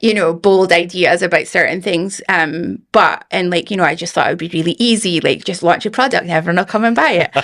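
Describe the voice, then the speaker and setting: A woman talks with a Scottish accent at a fairly low pitch. Her pace is fairly quick, with hardly any pauses. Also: ordinary pitch variation. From Scotland, Aberdeen. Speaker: founder of a supplement business. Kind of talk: podcast interview.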